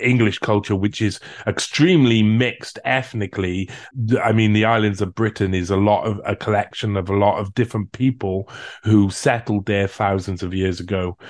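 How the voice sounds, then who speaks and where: Against a quiet background, a man with a fairly low pitch speaks at a fairly quick pace with fairly even intonation. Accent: Cardiff. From South Wales, Cardiff. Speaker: researcher and writer. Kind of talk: interview conversation.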